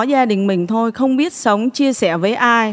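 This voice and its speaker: A woman has a normal speaking voice, with ordinary pitch variation and a fairly slow pace. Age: 40s. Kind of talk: testimony.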